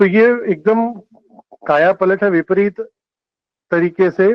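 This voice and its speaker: A man's high-pitched voice. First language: Telugu or Kannada (speaking Hindi). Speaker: lecturer. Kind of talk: lecture.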